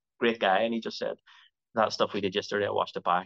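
A man with a bright, sharp tone and fairly even intonation, dry and close with no echo, over a quiet background. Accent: Belfast. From Northern Ireland, Belfast. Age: 40s. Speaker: actor. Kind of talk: interview.

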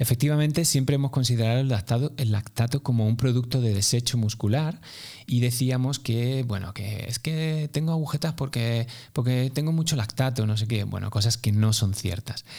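On a very clean recording with a silent background, a man speaks at a moderate pace and medium pitch. His tone is dark, mellow and somewhat breathy, with ordinary pitch variation. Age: 40s. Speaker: running coach. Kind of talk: casual interview.

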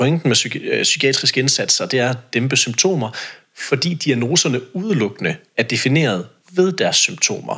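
At a fairly quick pace, a man speaks with a medium pitch, lively intonation and a bright, sharp tone. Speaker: self-employed social sector consultant and debater. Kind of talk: podcast interview.

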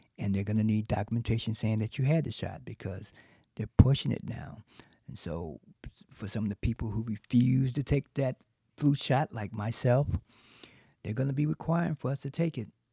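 A man with an American accent, medium pitch and lively intonation, a dark, mellow and somewhat breathy tone, moderate pace with long, frequent pauses, and a dry, close sound with no echo. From US South. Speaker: podcast host. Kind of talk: solo podcast monologue on current events. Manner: halting, filled with uhs and ums.

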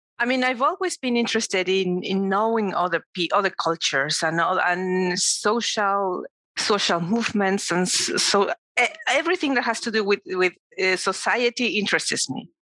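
In a Spanish accent, a woman of medium pitch speaks with lively intonation and very even loudness, her sound dry and close with no echo. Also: moderate pace. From Mexico City. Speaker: cancer survivor. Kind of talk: casual interview.

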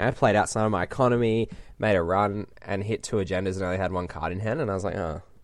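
With an Australian accent, a man speaks very fast at a fairly low pitch. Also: ordinary pitch variation. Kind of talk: casual interview.

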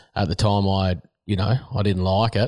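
In a rural Australian accent, a man speaks at fairly low pitch in a very clean recording with a silent background and a dry, close sound with no echo. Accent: broad rural Australian. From Australia, rural New South Wales. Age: 30s. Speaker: horse trainer and rider. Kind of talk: interview. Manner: casual, halting with fillers.

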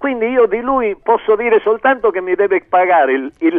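A man speaks in a high pitch with lively intonation. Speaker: singer-songwriter. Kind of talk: radio interview. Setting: phone or remote link. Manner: animated.

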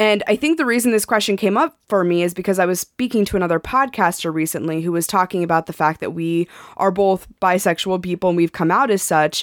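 Racing at a very fast pace with hardly any pauses, a woman speaks at a medium pitch with ordinary pitch variation, the sound dry and close with no echo and the recording very clean against a silent background. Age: 30s. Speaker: sex coach, podcast co-host. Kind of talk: casual chat.

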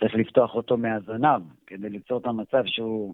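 This man's voice has a medium pitch and moves along at a fairly quick clip. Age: adult. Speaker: reptile and snake expert. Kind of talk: interview. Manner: hesitant with fillers.

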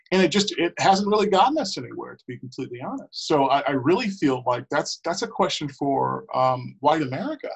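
A man speaks at a fairly high pitch with vocal fry and lively intonation. His loudness swings widely and he hardly pauses at all. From Milwaukee, Wisconsin, US Midwest. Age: 20s. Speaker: school board member. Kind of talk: interview.

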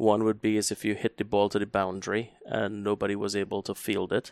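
The man speaks at a moderate pace in a Trinidadian accent, his pitch fairly low. The recording is very clean, with a silent background and a dry, close sound with no echo. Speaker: psychologist. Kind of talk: casual chat.

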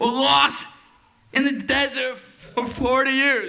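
A man speaks in an extremely high pitch with a raised, projected voice. His intonation stays fairly even. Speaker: comedian and emcee. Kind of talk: stand-up. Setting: stage with audience.

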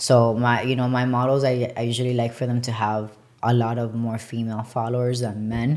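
A woman speaks at a fairly quick pace in a very deep, low voice with monotone, flat intonation. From Colombia. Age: 20s. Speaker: clothing line owner. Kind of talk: casual interview.

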